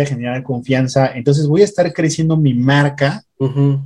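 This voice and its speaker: This man's voice is fairly high-pitched, with a dark, mellow tone. He sounds somewhat breathy and keeps a moderate pace. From Mexico City. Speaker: affiliate marketer. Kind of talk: casual interview. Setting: home.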